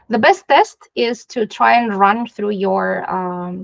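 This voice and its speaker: A woman with a non-native accent and a medium pitch. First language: not English. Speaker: digital accessibility specialist. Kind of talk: interview.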